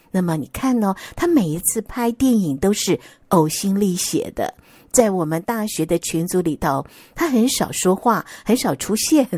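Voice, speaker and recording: A woman with a Taiwanese accent and a dark, mellow tone, fairly slow in pace, with very wide pitch swings, in a dry, close sound with no echo. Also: medium pitch for a woman, very clean recording, silent background. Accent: Taiwanese Mandarin. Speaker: podcast host. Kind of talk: casual monologue. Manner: chatty, many fillers.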